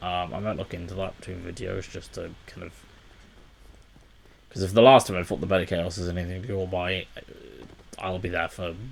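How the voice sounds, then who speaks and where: This soft-spoken man has a very deep, low pitch, a fairly quick pace and fairly even intonation. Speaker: gaming YouTuber. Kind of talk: let's play commentary. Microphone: quiet recording level.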